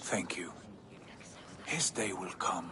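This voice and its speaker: A man speaks in a whisper. He uses a put-on character voice. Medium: machinima. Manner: blunt.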